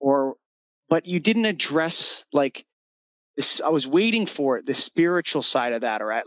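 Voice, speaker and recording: In a normal speaking voice, a man with a fairly high pitch and lively intonation speaks at a moderate pace. The sound is dry and close with no echo, over a quiet background. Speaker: podcast host. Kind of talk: casual interview.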